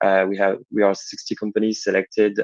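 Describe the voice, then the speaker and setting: In a French accent, a man talks at a moderate pace. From France. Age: 20s. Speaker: startup founder. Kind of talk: pitch. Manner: halting. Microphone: connection may glitch.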